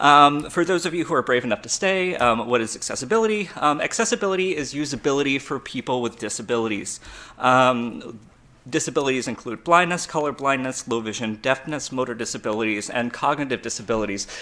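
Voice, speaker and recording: Bright and sharp in tone, a man with an American accent talks at a very fast pace. His medium-pitched voice has lively intonation. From US South, Georgia. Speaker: conference speaker, web developer. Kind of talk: conference talk.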